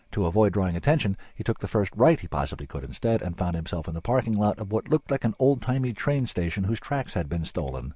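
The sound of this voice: Lively intonation in an unforced reading voice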